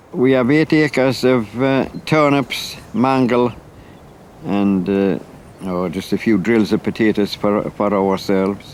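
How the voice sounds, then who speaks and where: Against noticeable background noise, a man with a Northumbrian accent speaks at a fairly slow pace, medium in pitch with ordinary pitch variation. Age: 70s. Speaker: farmer. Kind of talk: documentary interview.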